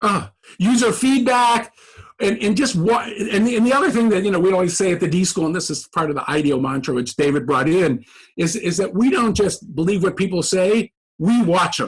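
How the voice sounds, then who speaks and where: A man talks at a fairly quick pace in a high pitch with lively intonation. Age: 60s. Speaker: professor. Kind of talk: podcast interview. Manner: halting, many repeated words.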